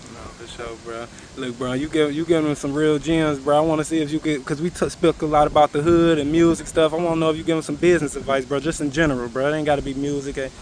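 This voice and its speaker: A man with an American accent and a fairly high voice talks very fast with hardly any pauses and fairly even intonation over noticeable background noise. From Cleveland, Ohio. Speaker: interviewer. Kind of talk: interview.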